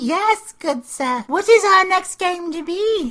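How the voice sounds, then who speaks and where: A woman's squeaky, put-on character voice, extremely high in pitch, with lively intonation and a fairly slow pace. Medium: audio drama. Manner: jolly, mannered.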